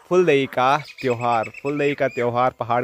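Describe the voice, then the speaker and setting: The intonation stays fairly even. The sound is dry, with no echo. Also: man. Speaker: village vlogger. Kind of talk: casual vlog chat. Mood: cheerful, smiling. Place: street. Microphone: phone near.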